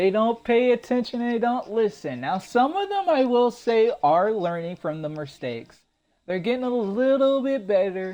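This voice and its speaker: With a dark, mellow tone, a man speaks at an extremely high pitch and a moderate pace, using lively intonation. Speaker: gaming youtuber. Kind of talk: video game guide. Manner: halting, stuttering.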